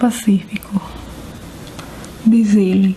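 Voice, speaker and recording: Soft-spoken and calm in tone, a woman talks at a very slow pace with a fairly high pitch. Her intonation is monotone and flat, and noticeable background noise is present. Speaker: ASMR creator. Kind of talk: ASMR book reading, soft spoken. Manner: soft-spoken, calm, relaxing.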